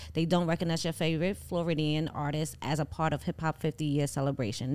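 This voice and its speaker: A woman with a New York accent talks at a fairly quick pace, her pitch very deep and low with vocal fry. The recording is very clean, with a silent background. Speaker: podcast co-host. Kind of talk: casual chat.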